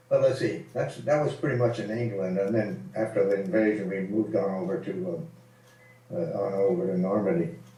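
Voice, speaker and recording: Speaking at a moderate pace, a man with a medium pitch and a dark, mellow tone shows very wide pitch swings and vocal fry. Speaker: WWII fighter pilot veteran. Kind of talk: informal interview answer about war memories. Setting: voice call over Skype, poor recording quality. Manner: relaxed, conversational, hesitant with filler words.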